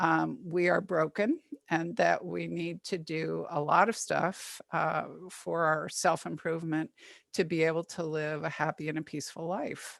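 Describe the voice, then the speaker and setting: A woman speaks in a plain, everyday voice, fairly low in pitch, at a fairly slow pace with fairly even intonation. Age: 60s. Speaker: psychotherapist. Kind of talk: webinar talk. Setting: video call.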